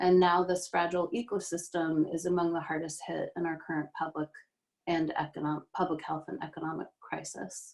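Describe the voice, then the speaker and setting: A woman with an ordinary speaking voice, fairly low pitch, moderate pace and fairly even intonation. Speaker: city council politician. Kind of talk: candidate forum statement.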